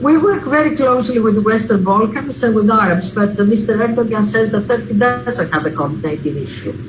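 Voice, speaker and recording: With a Greek accent, a woman of medium pitch speaks at a very fast pace amid audible room echo and noticeable background noise. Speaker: diplomat. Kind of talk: Q&A session. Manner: halting, many fillers.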